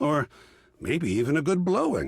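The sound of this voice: In a put-on character voice, a man speaks with a fairly high pitch, vocal fry, a slightly husky edge and very wide pitch swings over a very clean recording with a silent background.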